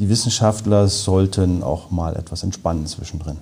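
A man speaks at a moderate pace with ordinary pitch variation. His tone is dark and mellow, and somewhat breathy. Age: 40s. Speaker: engineer and polar researcher. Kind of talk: interview.

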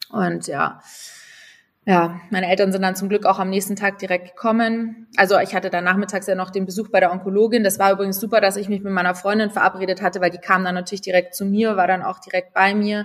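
The speech runs at a very fast pace with a monotone, flat intonation. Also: woman, medium pitch for a woman. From Munich, Bavaria, Germany. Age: 20s. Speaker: content creator and cancer survivor. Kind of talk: casual interview, personal story.

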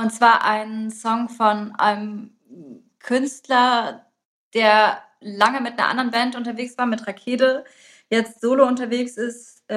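A woman speaks in a plain, everyday voice, fairly high in pitch, with fairly even intonation. Her pace is fairly slow and her loudness swings widely. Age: 30s. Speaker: podcast host. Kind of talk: casual chat.

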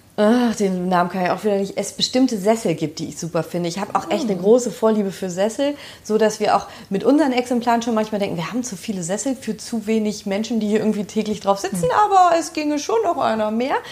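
A woman's fairly high voice racing at a very fast pace with lively intonation, over noticeable background noise. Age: 30s. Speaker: social worker and home decor enthusiast. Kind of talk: casual interview. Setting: at home in her kitchen.

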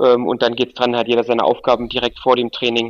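A man at a medium pitch talks at a fairly quick pace, the sound dry and close with no echo. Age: 30s. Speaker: football coach. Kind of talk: interview.

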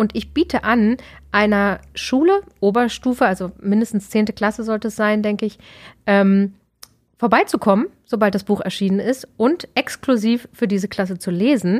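A woman with a plain, everyday voice speaks at a moderate pace in a fairly high pitch. Her pitch varies in an ordinary way, and the recording is very clean with a silent background. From Berlin, Germany. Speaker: author and dramaturge. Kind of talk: interview conversation. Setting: studio.

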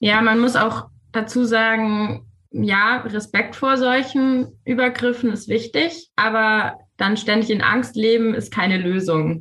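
Very slowly and at a very even loudness, a woman speaks in a bright, sharp tone at a fairly high pitch with ordinary pitch variation. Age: 20s. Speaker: medical student and queer activist. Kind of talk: interview.

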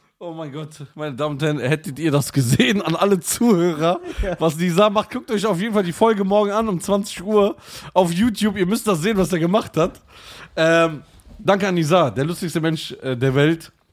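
This man's voice is pitched high. He keeps to a moderate pace. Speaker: podcast host. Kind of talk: casual banter, comedic roasting chat.

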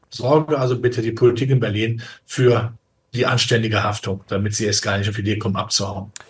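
A man's somewhat breathy, medium-pitched voice at a very fast pace with fairly even intonation. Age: 60s. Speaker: capital markets analyst. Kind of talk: interview.

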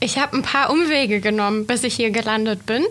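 A woman's lively intonation at a moderate pace. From Swabia, Germany (Reutlingen). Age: 30s. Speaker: newspaper editor and manager. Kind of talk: podcast interview.

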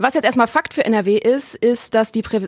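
A woman speaks at a high pitch. The sound is dry and close, with no echo. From Germany, Neuss near Düsseldorf. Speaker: guest co-host. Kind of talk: casual chat. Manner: loud.

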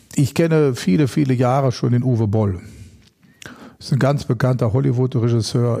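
This man's voice is dark and mellow, somewhat breathy, and at medium pitch with ordinary pitch variation. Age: 50s. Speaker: animal welfare activist and former pro fighter. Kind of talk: casual interview.

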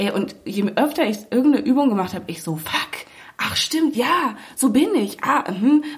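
A woman speaks at a moderate pace in a high voice whose pitch swings very widely, with noticeable background noise behind her. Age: 20s. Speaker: podcast host and magazine editor. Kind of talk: casual chat. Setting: makeshift home podcast booth.

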